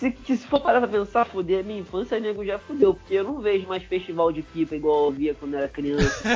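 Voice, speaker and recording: Over noticeable background noise, a man with a high pitch talks very fast with lively intonation and hardly any pauses. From Rio de Janeiro, Brazil. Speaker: podcast co-host. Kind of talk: casual chat.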